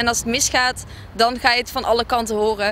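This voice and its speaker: A woman talks at a fairly quick pace in a high, bright, sharp voice with fairly even intonation. The sound is dry with no echo, and light background noise can be heard. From Brabant, Netherlands. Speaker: student association board member. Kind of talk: interview. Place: waterside. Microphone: handheld.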